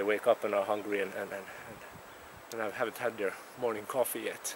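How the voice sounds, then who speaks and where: A man speaks at a fairly quick pace with a fairly low pitch. The sound is dry with no echo, though noticeable background noise is present. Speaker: outdoor heritage guide. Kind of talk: casual outdoor tutorial chat. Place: open country. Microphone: phone near.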